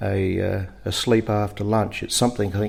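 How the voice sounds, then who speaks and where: With a rural Australian accent, a man talks at a moderate pace in a fairly low pitch. His intonation is monotone and flat, on a very clean recording with a silent background. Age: 60s. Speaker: farmer. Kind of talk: interview. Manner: halting, many fillers.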